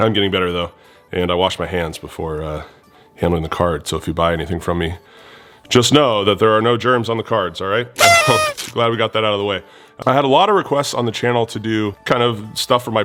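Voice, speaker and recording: Male speech with typical pitch movement, backed by music. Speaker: card collecting youtuber. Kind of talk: casual video monologue. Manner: hesitant with many fillers.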